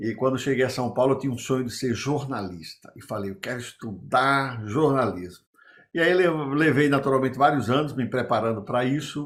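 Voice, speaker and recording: Moderate-paced speech from a man at medium pitch with ordinary pitch variation, on a very clean recording with a silent background. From Brazilian Northeast. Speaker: business consultant and former executive. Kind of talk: interview storytelling.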